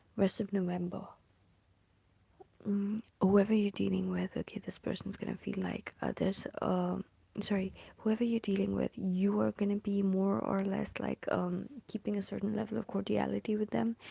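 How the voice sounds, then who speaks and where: The speaker is soft-spoken. The pace is moderate. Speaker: tarot reader. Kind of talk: tarot reading. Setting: at home. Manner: hesitant, many fillers.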